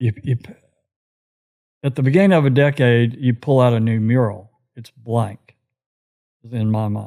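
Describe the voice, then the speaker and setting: With a Texan accent and a dark, mellow tone, the speaker talks at a moderate pace with ordinary pitch variation and long, frequent pauses. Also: man, medium pitch for a man. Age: 70s. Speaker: retired commercial real estate broker. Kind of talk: casual interview chat. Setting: in the host's home.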